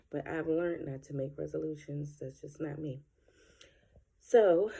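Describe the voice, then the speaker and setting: A soft-spoken woman talks at a very deep, low pitch in a dark, mellow tone, with ordinary pitch variation, a fairly slow pace and long, frequent pauses. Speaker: vlogger and group home manager. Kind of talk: casual vlog.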